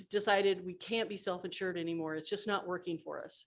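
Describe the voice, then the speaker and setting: On a very clean recording with a silent background, a woman talks in a medium pitch with fairly even intonation. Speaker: city finance official. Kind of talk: budget presentation. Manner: halting, many fillers.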